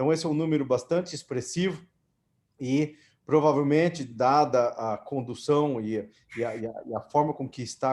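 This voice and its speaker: The background is quiet. It is a plain, everyday voice. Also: man. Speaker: orthopedic surgeon, society president. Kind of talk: closing remarks at online meeting.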